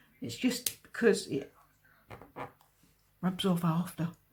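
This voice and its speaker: A woman speaks at a fairly slow pace. Her voice sounds somewhat breathy. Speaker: card maker. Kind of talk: craft tutorial talk to camera.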